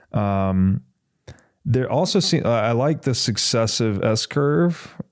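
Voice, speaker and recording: A man's voice with very wide pitch swings, in a very clean recording over a silent background. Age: 30s. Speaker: podcast host. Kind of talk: casual chat.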